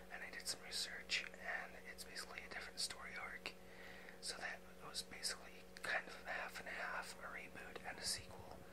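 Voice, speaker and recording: Noticeable background noise sits behind whispering delivered at a moderate pace. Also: man. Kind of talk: ASMR soft-spoken talk to camera. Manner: soft-spoken, whispering.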